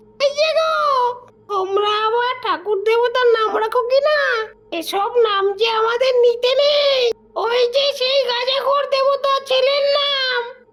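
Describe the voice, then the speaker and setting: Someone performs a put-on character voice, extremely high in pitch, shrill and nasal. The pace is moderate. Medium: read story. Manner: whiny, wheedling.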